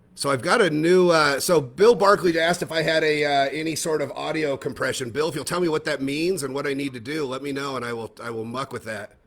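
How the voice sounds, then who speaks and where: Over noticeable background noise, a man with a fairly high pitch and ordinary pitch variation talks at a very fast pace with hardly any pauses. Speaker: magic collector show host. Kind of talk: video call conversation. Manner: loud.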